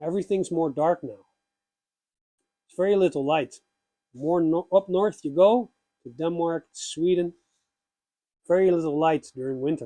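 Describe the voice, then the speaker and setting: In a dry, close recording with no echo, a man with a high pitch and a dark, mellow tone shows ordinary pitch variation, big swings in loudness and long, frequent pauses. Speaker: pagan YouTuber. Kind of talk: spiritual talk. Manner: slow, with pauses; quiet.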